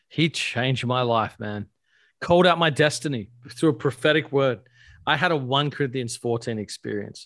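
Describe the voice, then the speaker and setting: Against a very clean recording with a silent background, a man with an Australian accent speaks at a medium pitch and a moderate pace, with ordinary pitch variation. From Australia (Adelaide). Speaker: pastor and author. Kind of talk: casual interview chat.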